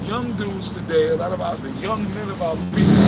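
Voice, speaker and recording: Noticeable background noise and audible room echo accompany speech delivered at a fairly quick pace. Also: man. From Texas. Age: 50s. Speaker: street preacher. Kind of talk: street preaching discussion.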